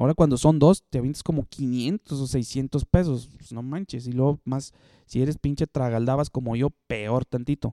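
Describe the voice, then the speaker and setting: A man with a medium-pitched, dark, mellow voice talks at a moderate pace with ordinary pitch variation. His loudness swings widely, and the sound is dry and close with no echo. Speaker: podcast host. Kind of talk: casual solo monologue. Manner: halting, many fillers.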